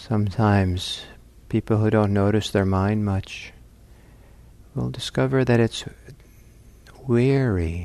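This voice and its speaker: A man's dark, mellow voice in a calm, gentle tone, fairly slow, with lively intonation and long, frequent pauses. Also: fairly low pitch for a man. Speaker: meditation teacher. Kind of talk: guided meditation. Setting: talk recorded at a meditation center. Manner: slow, calm, soft-spoken; gentle, unhurried, with long pauses.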